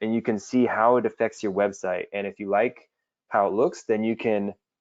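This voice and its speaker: With a normal speaking voice at medium pitch, a man talks at a moderate pace. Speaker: webinar host. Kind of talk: webinar Q&A tutorial. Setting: online webinar.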